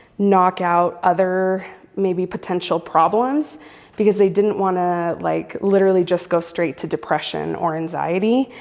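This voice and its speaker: A woman at medium pitch and a fairly slow pace, an unremarkable speaking voice. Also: ordinary pitch variation. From US, Central American family. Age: 30s. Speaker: storyteller sharing lived experience. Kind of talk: personal testimony interview. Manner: casual, frequent fillers.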